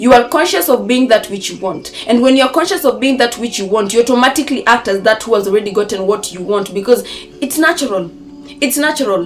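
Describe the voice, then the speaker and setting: Music plays behind a woman who talks very fast in an animated tone, with high pitch and lively intonation. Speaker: manifestation coach. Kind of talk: motivational talk.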